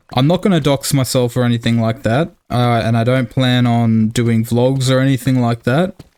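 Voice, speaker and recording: A man speaks with an Australian accent. His pitch is medium and his intonation fairly even. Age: 20s. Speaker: gaming YouTuber. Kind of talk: gameplay commentary. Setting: home recording with headset.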